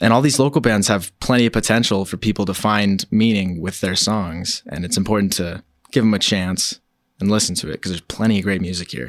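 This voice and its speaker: A man talks at a fairly quick pace and a fairly low pitch in an ordinary speaking voice with ordinary pitch variation. The recording is very clean with a silent background and a dry, close sound with no echo. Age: 20s. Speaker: local musician, guitarist. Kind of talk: casual interview.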